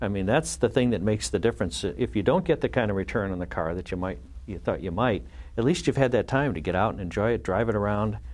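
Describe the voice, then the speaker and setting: Very fast and full of very wide pitch swings, a man with fairly low pitch and vocal fry speaks on a very clean recording with a silent background. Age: 50s. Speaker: car collector and performance engineering executive. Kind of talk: casual chat. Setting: studio. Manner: halting, many fillers.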